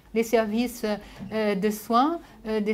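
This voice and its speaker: Audible room echo surrounds the voice. A woman speaks fairly high and fairly slowly. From Brazil, born in Japan. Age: 70s. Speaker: sociologist. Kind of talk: lecture. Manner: halting, many hesitations.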